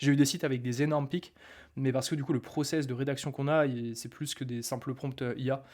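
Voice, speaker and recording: In a very clean recording with a silent background, a man talks at a fairly quick pace and a medium pitch. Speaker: online marketing coach. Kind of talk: live stream talk. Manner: fast; animated.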